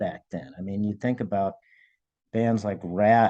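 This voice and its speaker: At a moderate speed, a man with an ordinary speaking voice talks, his pitch varying in an ordinary way. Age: 60s. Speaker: metal record producer. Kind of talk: interview.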